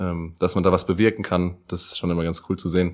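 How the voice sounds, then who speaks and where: A man speaks at a very deep, low pitch and a moderate pace. The recording is very clean, with a silent background. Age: 20s. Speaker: teacher-training student. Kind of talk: casual interview.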